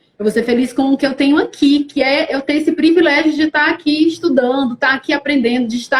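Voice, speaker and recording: A woman's high-pitched voice at a moderate pace, in a northeastern Brazilian accent. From Brazil, Fortaleza, Ceará (Northeast). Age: 30s. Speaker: actress. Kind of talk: live-stream interview. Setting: online live stream.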